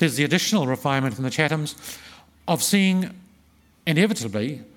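With a New Zealand accent, a man talks at a fairly quick pace. His pitch sits fairly high. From New Zealand, Wellington region. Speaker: historian and author. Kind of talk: festival talk and audience Q&A. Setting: stage with audience.

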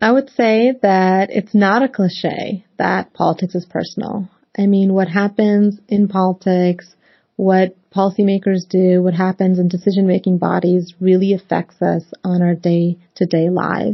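A woman with a medium pitch and a somewhat breathy voice speaks at a fairly slow pace in a monotone, flat intonation with very even loudness. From Northern Virginia, US (moved from Pakistan at 8). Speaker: embassy interviewee, former youth campaign volunteer. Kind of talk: interview. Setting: video podcast.

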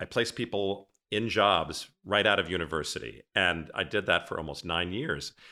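With a very deep, low pitch and an American accent, a man speaks in a bright, sharp, animated and enthusiastic tone at a moderate pace, with ordinary pitch variation, on a very clean recording with a silent background. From Cape Cod, Massachusetts, New England. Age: 60s. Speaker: podcast host, former event planner. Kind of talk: casual interview chat. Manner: animated, enthusiastic.

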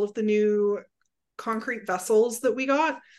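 Over a quiet background, a woman speaks at a moderate pace with fairly even intonation. Her pitch is fairly high, and it is a normal speaking voice. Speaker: assistant winemaker. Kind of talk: casual chat.

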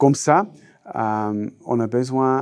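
A man with a Swiss German accent and lively intonation. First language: Swiss German (speaking French). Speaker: technical trainer. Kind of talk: interview. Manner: halting.

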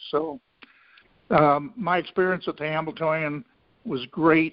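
Speaking with a Midwestern American accent, a man talks at a fairly high pitch. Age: 70s. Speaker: racehorse owner, retired businessman. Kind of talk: interview.

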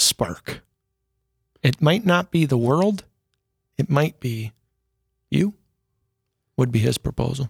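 Somewhat breathy, fairly high male voice with lively intonation, a very slow pace, and long, frequent pauses. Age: 40s.

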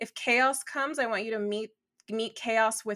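Fairly high and bright with a sharp tone, a woman's voice in a Southern California accent moves at a fairly slow pace with fairly even intonation, on a very clean recording with a silent background. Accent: valley girl delivery. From Los Angeles, US. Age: 40s. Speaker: astrologer. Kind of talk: casual interview.

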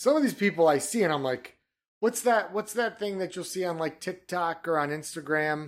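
A man with an American accent talks at a moderate pace in a high pitch, his intonation lively. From Michigan. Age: 30s. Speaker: podcast co-host. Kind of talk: casual chat.

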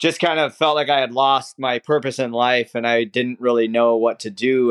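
Using an American accent, a man speaks at a moderate pace and medium pitch with fairly even intonation. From rural Minnesota. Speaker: occupational therapist and obstacle course competitor. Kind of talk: interview conversation.

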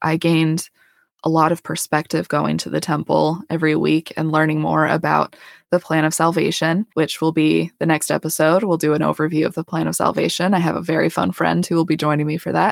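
Very deep, low woman's voice with vocal fry, monotone, flat intonation and a fairly quick pace, in an American accent, on a very clean recording with a silent background and a dry, close sound with no echo. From Colorado. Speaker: podcast host, dental hygienist. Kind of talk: personal storytelling monologue.

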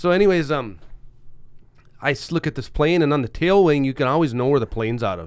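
Recorded very cleanly against a silent background, a man with a fairly high pitch and lively intonation talks very fast, yet breaks often with long pauses. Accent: Upper Midwest. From Roseau, northern Minnesota. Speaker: podcast co-host, former Marine. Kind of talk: casual chat. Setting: studio.

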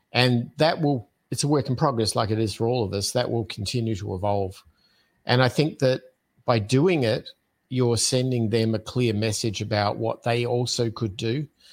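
The recording is very clean, with a silent background. A man with an American accent talks at a moderate pace and medium pitch, with ordinary pitch variation. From Australia, Adelaide. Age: 50s. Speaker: podcast host and entrepreneur. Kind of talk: casual interview chat.

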